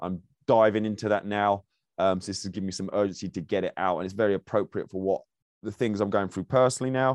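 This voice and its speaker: Speaking very fast with fairly even intonation, a man with an English accent sounds dry and close, with no echo. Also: fairly low pitch for a man, quiet background. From England. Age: 40s. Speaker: podcast host and speaking coach. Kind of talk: casual monologue. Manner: halting.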